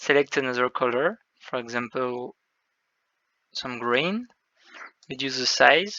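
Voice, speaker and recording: With a French accent, a man of medium pitch speaks at a fairly slow pace, leaving long, frequent pauses. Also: ordinary pitch variation. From France. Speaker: game developer. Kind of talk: tutorial. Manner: halting.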